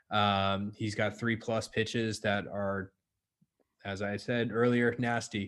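A man's fairly low, ordinary speaking voice, fairly even in intonation, over a quiet background. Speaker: baseball analytics staffer. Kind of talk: casual chat.

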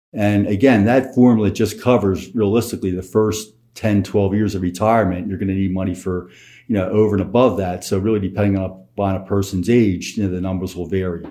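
A man talks at a fairly quick pace in a fairly low pitch. He has an unremarkable speaking voice. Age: 60s. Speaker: financial planner. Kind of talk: casual chat.

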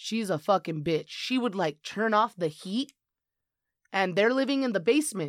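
The recording is very clean, with a silent background and a dry, close sound with no echo. An unremarkable speaking voice with lively intonation moves at a moderate pace. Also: woman, medium pitch for a woman. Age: 20s. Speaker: podcast guest. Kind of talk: casual chat.

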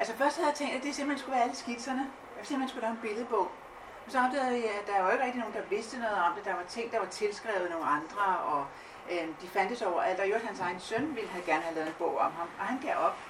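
A woman with a fairly high pitch and lively intonation talks at a very fast pace over noticeable background noise. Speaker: art historian. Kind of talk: live talk on stage. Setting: stage with audience.

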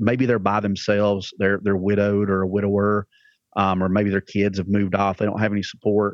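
A fairly low-pitched man in a Southern US accent. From Alabama. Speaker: church pastor. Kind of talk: casual podcast interview.

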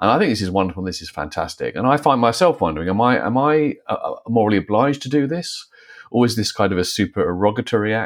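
This man's intonation is lively. He speaks very fast. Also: medium pitch for a man. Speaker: philosopher and author. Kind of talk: panel discussion.

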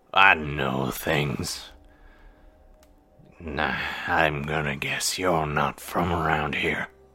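In a put-on character voice, a man growls out raspy words at a very deep, low pitch. His pace is very slow, with long, frequent pauses. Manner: sly, devilish.

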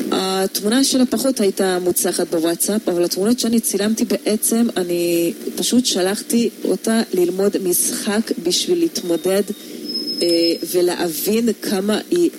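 Noticeable background noise runs under a woman who talks at a fairly slow pace with lively intonation and very even loudness. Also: medium pitch for a woman. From Hungary. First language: Hungarian (speaking Hebrew). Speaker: photographer. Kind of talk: radio interview. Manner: hesitant, many fillers.

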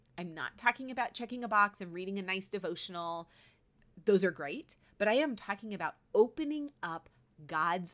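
A woman's ordinary speaking voice at medium pitch, with lively intonation and a moderate pace. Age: 50s. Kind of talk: faith-based monologue. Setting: podcast recording. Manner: warm, conversational.

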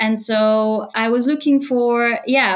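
A woman with a Bulgarian accent speaks at a fairly high pitch. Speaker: e-commerce AI consultant. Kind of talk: interview.

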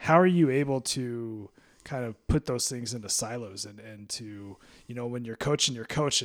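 On a very clean recording with a silent background, a man uses a normal speaking voice at medium pitch, moving at a moderate pace with ordinary pitch variation and big swings in loudness. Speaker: podcast host. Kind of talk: casual interview chat.

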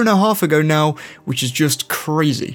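Over background music, a man speaks in an enthusiastic tone at a moderate pace, his fairly high voice showing ordinary pitch variation. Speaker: gaming YouTuber. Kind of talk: scripted video commentary. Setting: video channel voiceover. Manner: casual, enthusiastic.

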